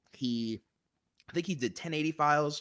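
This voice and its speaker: In a very clean recording with a silent background and a dry, close sound with no echo, a man speaks in an animated, bright, sharp tone at a fairly quick pace. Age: 20s. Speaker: YouTube filmmaking channel host. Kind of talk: casual live stream chat.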